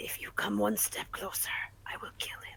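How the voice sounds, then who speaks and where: Over light background noise, a man performs a raspy, put-on character voice at a moderate pace. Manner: growling, threatening.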